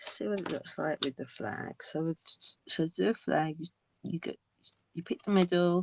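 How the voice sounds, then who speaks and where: Mumbled speech moves at a moderate pace, broken by long, frequent pauses. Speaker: crafting tutorial host. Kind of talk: tutorial. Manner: mumbling; halting.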